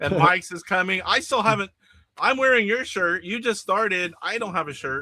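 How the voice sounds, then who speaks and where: Raising and projecting his voice, a man speaks at a high pitch and a moderate pace with ordinary pitch variation. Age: 50s. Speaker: show host, retro game collector. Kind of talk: casual chat on livestream.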